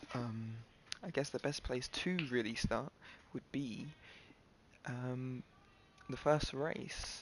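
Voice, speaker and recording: The voice is quiet and very slow, broken by long, frequent pauses. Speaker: gaming livestreamer. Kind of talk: casual livestream recap. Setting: solo livestream. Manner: halting.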